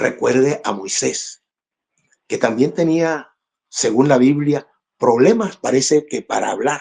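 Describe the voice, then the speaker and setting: A man speaks at a very slow pace with long, frequent pauses. His pitch is fairly high and his intonation lively. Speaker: church speaker giving testimony, former baseball player. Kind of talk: testimony.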